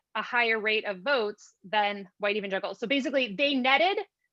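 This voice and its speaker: The voice has a bright, sharp tone and ordinary pitch variation, moving at a fairly quick pace over a quiet background. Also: woman. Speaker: panelist, political researcher. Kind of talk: academic presentation with slides. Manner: fast.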